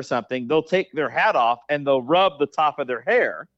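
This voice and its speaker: Speaking in an American accent, a man with an unremarkable speaking voice uses lively intonation and a fairly high pitch. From Oklahoma. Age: 50s. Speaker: sports equipment company employee. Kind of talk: casual chat.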